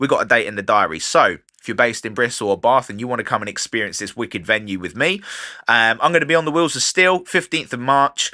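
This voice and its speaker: A man with a southern English accent talks at a very fast pace in an animated, bright, sharp tone. His pitch swings very widely, and the background is quiet. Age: 30s. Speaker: podcast host and DJ. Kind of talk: casual podcast monologue.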